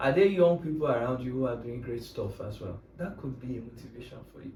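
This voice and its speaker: A man talks at a fairly quick pace in a somewhat breathy voice with a dark, mellow tone. His intonation is lively and his loudness swings widely. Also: medium pitch for a man. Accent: Nigerian. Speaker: Web3 tech speaker. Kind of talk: casual chat. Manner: animated.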